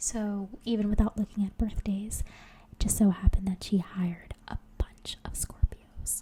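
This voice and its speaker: A woman whispers at a moderate pace. Her loudness swings widely. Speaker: ASMR creator. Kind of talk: casual personal anecdote. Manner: soft-spoken, relaxing.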